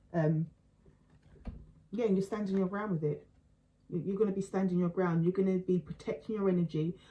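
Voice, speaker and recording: Somewhat breathy and dark, mellow in tone, a woman at medium pitch talks at a fairly quick pace with fairly even intonation and long, frequent pauses. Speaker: tarot reader. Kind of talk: tarot reading. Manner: fast; halting, many fillers and repeats.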